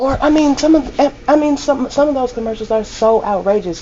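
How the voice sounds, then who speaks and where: A woman speaks loudly at a moderate pace against noticeable background noise. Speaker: laundromat owner and vlogger. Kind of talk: casual vlog monologue.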